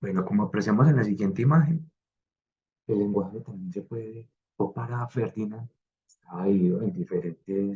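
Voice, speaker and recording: A man's fairly low, dark, mellow voice with lively intonation. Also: moderate pace. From Colombia, coffee region. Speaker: design student. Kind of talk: class presentation. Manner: hesitant, many fillers.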